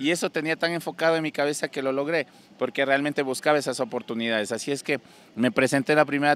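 The recording is dry with no echo as a man with a medium pitch speaks very fast. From Ecuador, Loja (El Cisne); Ecuador. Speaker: singer; interviewee. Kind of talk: interview; interview answer. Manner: halting. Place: street. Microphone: handheld.

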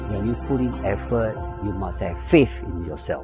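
A man talks at a moderate pace. Clear music plays in the background, and the sound is dry with no echo. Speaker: customer testimonial. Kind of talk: testimonial interview answer. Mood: earnest, motivational. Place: garden. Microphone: lapel.

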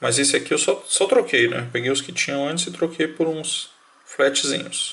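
A man is speaking. His pace is moderate. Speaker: electronics tutorial youtuber. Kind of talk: tutorial.

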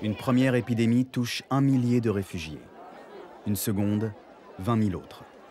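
Amid crowd noise, a man with a medium-pitched, dark and mellow tone speaks with long, frequent pauses. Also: ordinary pitch variation, moderate pace. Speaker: voice-over narrator, stage actor. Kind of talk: documentary narration.

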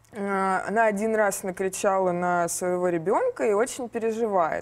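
A plain, everyday voice from a woman at medium pitch, with fairly even intonation and a moderate pace. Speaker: interviewer. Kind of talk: interview. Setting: studio.

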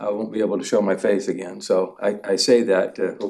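The speaker is a man with an American accent. He talks at a moderate pace with a fairly low pitch. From Oregon. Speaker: property developer. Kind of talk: public testimony. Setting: public meeting hall. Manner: halting, many fillers and repeats.

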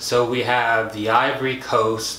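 With an American accent, a man speaks amid light background noise and audible room echo. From United States. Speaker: science YouTuber. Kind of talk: educational video monologue. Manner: casual, conversational. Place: home room.

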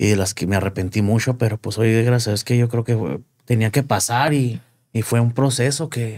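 Ordinary pitch variation at a moderate pace, over a quiet background. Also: man. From Chihuahua, Mexico. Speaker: entertainment show host and marketer; interview guest. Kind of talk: interview. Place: studio. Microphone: studio mic.

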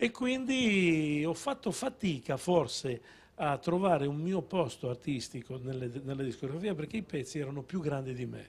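With a fairly high pitch and a somewhat breathy sound, a man talks at a fairly slow pace with lively intonation. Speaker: songwriter; guest. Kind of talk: casual chat. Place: studio. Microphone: handheld.

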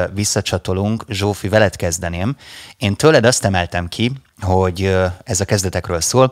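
A man speaks in a normal speaking voice at a moderate pace and fairly low pitch with ordinary pitch variation, over a quiet background with a dry sound and no echo. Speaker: radio host. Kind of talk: casual chat. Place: studio. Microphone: studio mic.

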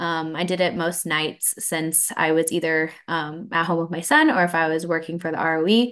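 Against a quiet background, a woman with a fairly low pitch speaks in a monotone with flat intonation. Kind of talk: interview answer. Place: home room. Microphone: video call.

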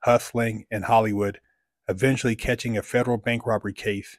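A man talks at a fairly quick pace. The sound is dry and close with no echo, on a very clean recording with a silent background. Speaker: motivational YouTuber and life coach. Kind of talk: monologue vlog with merch plug and reading a fan message. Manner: casual, motivational, animated.

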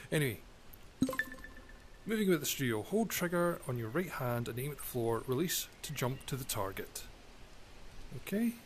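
Against music in the background, a calm, relaxed voice with a Scottish accent moves at a moderate pace through very wide pitch swings and long, frequent pauses. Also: man, fairly high pitch for a man. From Scotland. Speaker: gamer channel host. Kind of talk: casual gameplay commentary to camera. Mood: relaxed, lightly joking. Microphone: headset.

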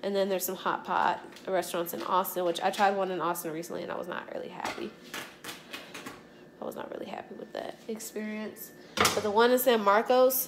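A woman talks at a fairly quick pace with ordinary pitch variation and big swings in loudness. There is noticeable background noise. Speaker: home cook vlogger. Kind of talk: casual vlog chat. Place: kitchen. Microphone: phone near.

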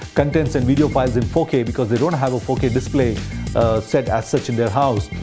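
Over clear background music, a man talks at a fairly quick pace with very even loudness and ordinary pitch variation. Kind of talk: interview answer. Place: hall.

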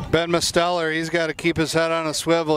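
The man's voice is fairly high in pitch and moves at a fairly quick pace. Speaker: color commentator, lacrosse coach. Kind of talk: live commentary. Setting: outdoors. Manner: frequent fillers and restarts.

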